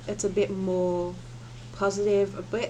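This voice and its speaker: A woman's dark, mellow tone at a fairly slow pace. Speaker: tarot reader. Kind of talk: tarot reading. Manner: soft-spoken; halting.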